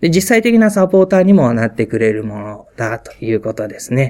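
The pitch swings very widely as a man talks. His pace is fairly quick. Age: 40s. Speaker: pastor. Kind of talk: talk to fellow pastors. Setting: pastors' meeting. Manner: halting.

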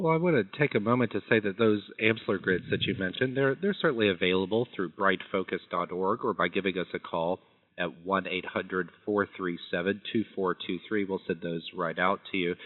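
This is a man with an ordinary speaking voice and a fairly low pitch. He uses ordinary pitch variation at a moderate pace. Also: hardly any pauses. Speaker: scientific affairs VP hosting call. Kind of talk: moderated phone Q&A interview. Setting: phone call.

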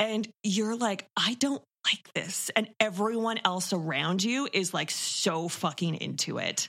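This woman has an unremarkable speaking voice and a Canadian accent. She speaks at a fairly slow pace, with medium pitch and ordinary pitch variation. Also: hardly any pauses. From Toronto, Canada. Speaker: horror podcast co-host. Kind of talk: casual film discussion.

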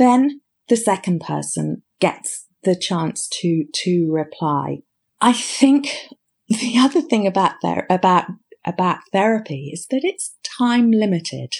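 With a British accent, a woman of medium pitch speaks very slowly in a somewhat breathy voice with very wide pitch swings. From Britain. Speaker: clinical psychologist. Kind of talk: interview. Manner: halting, repeats words.

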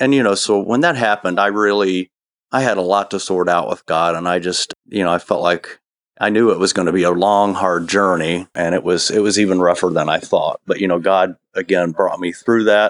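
Speaking fairly quickly with a Midwestern US accent, a man uses a very deep, low pitch, fairly even intonation and very even loudness, with a dry, close sound and no echo. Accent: US Midwest. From Ohio, US Midwest. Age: 50s. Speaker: interview guest sharing personal faith story. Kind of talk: personal testimony in interview.

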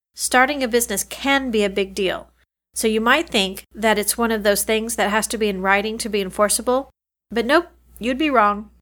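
In a very clean recording with a silent background, a woman with an ordinary speaking voice talks at a moderate pace and a fairly high pitch, with ordinary pitch variation. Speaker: lawyer and podcast host. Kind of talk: podcast monologue and interview.

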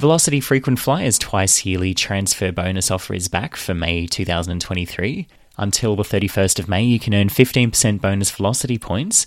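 On a very clean recording with a silent background, a man speaks at a fairly quick pace. He has an Australian accent, a fairly low pitch and ordinary pitch variation. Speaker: podcast host. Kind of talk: news reading and interview.

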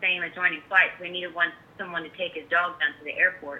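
Using a plain, everyday voice, a woman speaks at medium pitch and a fairly quick pace. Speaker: kennel manager. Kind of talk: casual interview chat. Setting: phone call.

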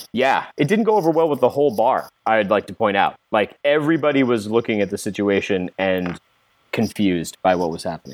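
A man with an American accent uses a normal speaking voice at medium pitch, fairly quick and with lively intonation. The sound is dry and close, with no echo. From US South (Kentucky). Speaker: game designer and writer. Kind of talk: casual chat and tabletop role-play.

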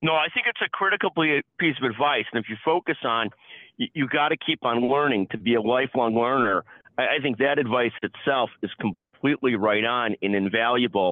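The man's pitch is medium, and he has an unremarkable speaking voice. His pace is moderate, and his pitch shifts in an ordinary way. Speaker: podcast host. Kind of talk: interview.

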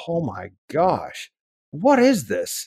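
A man is heard. His pitch moves in an ordinary way. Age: 40s. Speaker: accountant and business consultant. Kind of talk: interview. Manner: animated.

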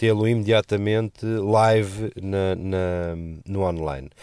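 Against a quiet background, a man with a normal speaking voice talks at a fairly low pitch with fairly even intonation. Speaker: radio and podcast commentator. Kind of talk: casual chat.

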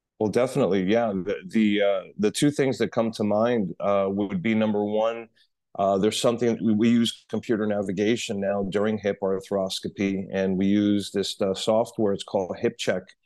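Man with an American accent, fairly low pitch and a dark, mellow tone, over a quiet background. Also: moderate pace, hardly any pauses. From New York City. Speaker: orthopedic surgeon. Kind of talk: interview.

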